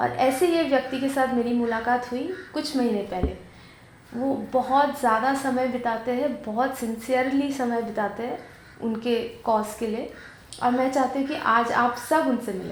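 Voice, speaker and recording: A woman speaks with a high pitch and fairly even intonation, with audible room echo and noticeable background noise. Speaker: video host and interviewer. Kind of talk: scripted narration.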